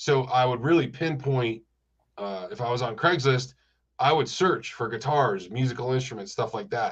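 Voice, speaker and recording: A man with an American accent speaks at medium pitch and a moderate pace, his voice somewhat breathy. His intonation is lively against a quiet background. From US Northeast (Rochester, New York). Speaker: music store owner. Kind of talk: casual chat.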